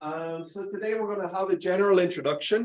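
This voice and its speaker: A man with an Irish accent and fairly even intonation. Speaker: university lecturer. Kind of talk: informal, conversational teaching. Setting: classroom lecture.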